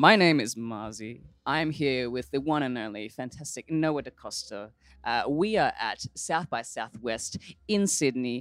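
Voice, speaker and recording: Someone speaks at a moderate pace with an Australian accent. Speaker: radio host. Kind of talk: interview. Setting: backstage at music festival.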